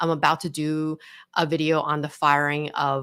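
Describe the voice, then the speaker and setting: A woman with an American accent speaks at a very deep, low pitch. The recording is very clean, with a silent background. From Los Angeles, California. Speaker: entertainment lawyer and YouTuber. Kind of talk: live stream commentary and chat Q&A. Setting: live stream. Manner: casual, many fillers and false starts.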